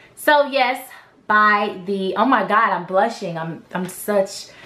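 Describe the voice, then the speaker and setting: In a room with audible echo, a woman speaks at a very slow pace with a medium pitch and a bright, sharp tone. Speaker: vlogger. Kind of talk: casual chat. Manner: halting.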